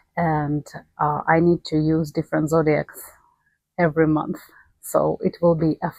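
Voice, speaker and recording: A woman with a non-native accent speaks in a very deep, low pitch with a dark, mellow tone. Her intonation is fairly even, and the sound is dry and close with no echo. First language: not English. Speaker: astrology YouTuber. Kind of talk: casual behind-the-scenes talk. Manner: halting with pauses.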